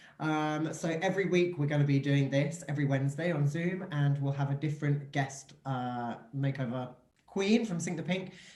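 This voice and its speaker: The man's voice is somewhat breathy and fairly high in pitch. He speaks at a moderate pace with fairly even intonation. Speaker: drag host. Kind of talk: casual online show hosting. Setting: video call.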